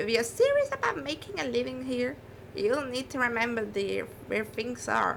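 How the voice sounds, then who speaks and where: A woman puts on a character voice at a high pitch and moderate pace. Clear background noise can be heard. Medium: virtual streamer. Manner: folksy, matter-of-fact.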